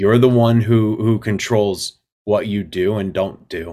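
A man with an American accent talks at a fairly slow pace in a normal speaking voice, fairly low in pitch with fairly even intonation. The recording is very clean, with a silent background. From US, northern Colorado (Fort Collins). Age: 40s. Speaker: army veteran and coffee company executive. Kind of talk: interview, personal testimony.

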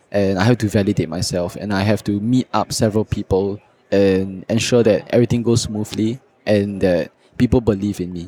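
A man's fairly low, dark, mellow voice at a fairly quick pace, with fairly even intonation and a dry, close sound with no echo. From Singapore. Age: 20s. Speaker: student entrepreneur. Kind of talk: casual interview. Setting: podcast booth at a conference.

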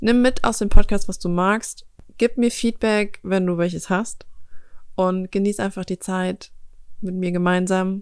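A woman speaks at a fairly slow pace with a medium pitch and fairly even intonation, leaving long, frequent pauses in a very clean recording with a silent background. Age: 20s. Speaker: podcast host. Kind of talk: casual monologue. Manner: relaxed.

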